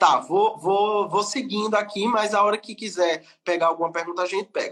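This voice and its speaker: At a moderate pace, a man with a strong northeastern Brazilian accent talks in a high pitch with fairly even intonation. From Brazilian Northeast. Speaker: lawyer. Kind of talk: webinar lecture.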